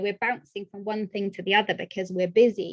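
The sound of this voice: At a fast pace, a woman speaks with a medium-pitched voice.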